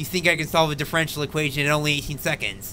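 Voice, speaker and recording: Light background noise is audible. A man talks over it. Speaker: guest. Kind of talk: casual live stream chat. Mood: amused, self-deprecating. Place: home room. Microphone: studio mic.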